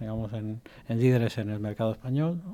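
This man's voice sits at a medium pitch. Its tone is dark and mellow. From Spain, from infancy (born in Egypt). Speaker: cybersecurity executive. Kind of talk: radio interview. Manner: hesitant, filler-heavy.

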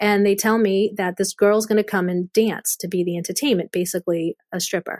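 An ordinary speaking voice moves at a fairly quick pace with hardly any pauses and fairly even intonation. The recording is very clean and dry, with a silent background and a close sound that has no echo. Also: woman, medium pitch for a woman. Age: young. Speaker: sex trafficking survivor and ministry founder. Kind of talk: testimony.

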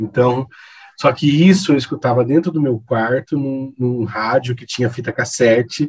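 A man speaks at a medium pitch, somewhat breathy. His pace is fairly slow and his intonation fairly even. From Campo Grande, Mato Grosso do Sul, Brazil. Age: 40s. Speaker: event set design business owner. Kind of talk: casual chat.

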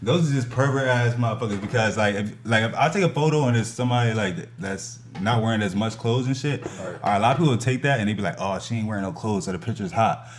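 Amid noticeable background noise and audible room echo, a man with an American accent talks at a very fast pace in a medium pitch with ordinary pitch variation. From New Jersey (Lawrenceville/Trenton area). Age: 30s. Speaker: photographer. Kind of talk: casual chat.

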